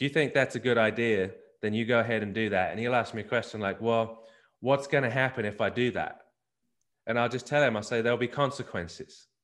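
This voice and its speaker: Against a quiet background, a man with an Australian accent speaks fairly quickly at a medium pitch, with fairly even intonation. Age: 40s. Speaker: family ministry business owner. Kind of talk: interview. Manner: repeats words, halting starts.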